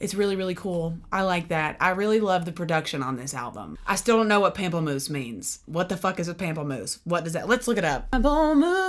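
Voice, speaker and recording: On a very clean recording with a silent background, a woman talks fairly quickly with a Southern US accent. Her pitch is fairly low, her intonation lively, with vocal fry. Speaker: music reaction youtuber, singer-songwriter. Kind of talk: album reaction.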